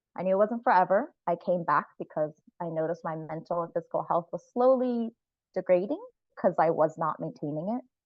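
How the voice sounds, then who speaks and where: A woman with an American accent and a plain, everyday voice speaks at a fairly low pitch and a moderate pace, with ordinary pitch variation. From US, Central Florida. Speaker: farm worker speaking at a workshop. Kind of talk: personal talk at online workshop.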